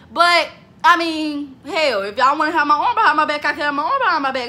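A woman's high-pitched, raised and projected voice, very fast, animated in tone and lively in intonation. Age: 20s. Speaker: vlogger. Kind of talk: casual vlog monologue. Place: home room. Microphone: phone near.

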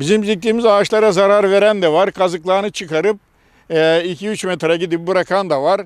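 In a quiet background, a man with a high pitch talks at a fairly quick pace. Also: fairly even intonation, dry sound with no echo. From Bulgaria. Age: 70s. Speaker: retired tree planter. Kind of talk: interview. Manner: halting. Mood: earnest, slightly aggrieved. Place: open country. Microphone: handheld.

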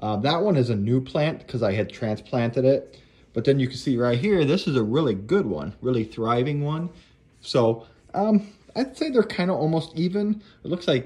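Somewhat breathy and dark, mellow in tone, a man speaks at a moderate pace with very wide pitch swings. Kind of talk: casual vlog chat. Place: home room. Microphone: phone near.

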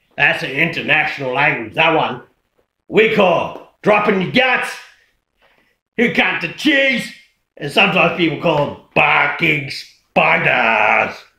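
Using a put-on character voice, a man speaks high and raspy with very wide pitch swings, at a fairly slow pace with long, frequent pauses and a slight echo. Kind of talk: comedy sketch, slang explainer to camera. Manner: casual, laid-back, crude.

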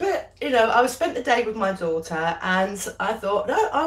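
The woman's pace is fairly slow. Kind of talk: casual live cooking chat. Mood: cheerful, laughing. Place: kitchen. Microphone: phone near.

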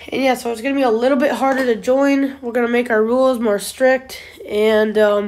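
A woman talks at a fairly quick pace in a high pitch with monotone, flat intonation. Noticeable background noise sits behind her. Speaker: gaming youtuber. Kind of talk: casual vlog announcement. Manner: halting, many fillers.

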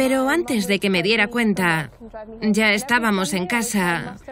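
A woman's lively intonation at a fairly slow pace, against noticeable background noise. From Scotland, Glasgow. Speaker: convert to Islam. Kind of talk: testimony.

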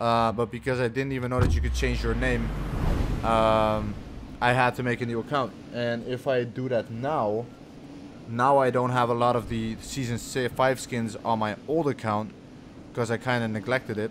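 A man talks at a moderate pace with long, frequent pauses over noticeable background noise. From Netherlands. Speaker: gaming streamer. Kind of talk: live gameplay stream chatting with viewers. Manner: casual, animated. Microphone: studio mic.

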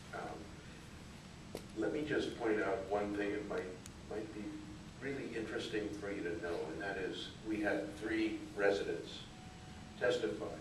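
A man speaks at a fairly slow pace in a fairly low voice. Audible room echo and noticeable background noise fill the recording. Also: ordinary pitch variation. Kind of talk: public hearing testimony. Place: meeting room. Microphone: camera far.

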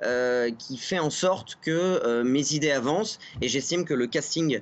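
A man talks at a fairly slow pace with a fairly high pitch. His intonation is lively. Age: 30s. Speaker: political campaign activist. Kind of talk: TV interview. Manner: hesitant, many filler sounds. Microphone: video call.

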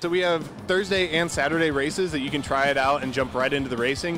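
Clear music plays behind a man who talks at a very fast pace. The sound is dry, with no echo. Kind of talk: interview answer. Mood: friendly, upbeat promotion. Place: stadium. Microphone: handheld.

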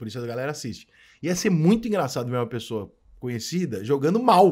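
Lively intonation marks a man's speech over a quiet background. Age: 40s. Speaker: sports journalist. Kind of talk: casual chat. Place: studio. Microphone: studio mic.

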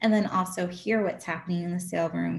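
A somewhat breathy woman's voice moves along at a moderate pace. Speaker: auction house photography specialist and auctioneer. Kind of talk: educational presentation on auction bidding. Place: home room. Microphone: video call.

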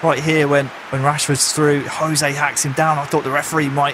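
A man talks at a moderate pace in a fairly high pitch. His intonation is monotone and flat, with noticeable background noise. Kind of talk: football co-commentary, analytical.

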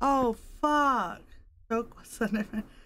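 Shouting in a bright, sharp tone, a woman with a high voice speaks at a very slow pace. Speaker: gaming streamer. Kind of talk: live gameplay commentary. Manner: animated, screaming.

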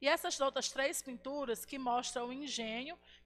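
Her high voice has a bright, sharp tone. The woman keeps a moderate pace with ordinary pitch variation. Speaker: school history teacher. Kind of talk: online class lecture. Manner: animated.

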